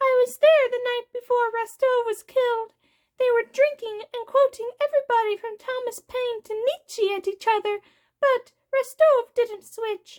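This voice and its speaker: A squeaky, put-on character voice at an extremely high pitch delivers its lines at a moderate pace. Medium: read story. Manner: casual, knowing.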